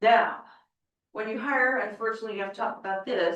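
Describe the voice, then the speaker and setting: A woman speaks loudly. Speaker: HR director. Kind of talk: board meeting presentation.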